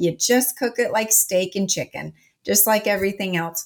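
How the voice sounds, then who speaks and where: A woman with an ordinary speaking voice at a medium pitch and ordinary pitch variation, on a very clean recording with a silent background. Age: 40s. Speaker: health coach and supplement expert. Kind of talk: interview.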